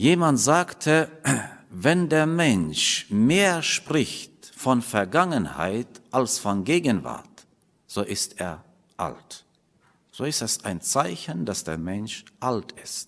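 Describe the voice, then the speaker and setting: A man's very slow speech with very wide pitch swings. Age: middle-aged. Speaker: preacher. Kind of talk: sermon. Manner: halting. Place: church. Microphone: podium.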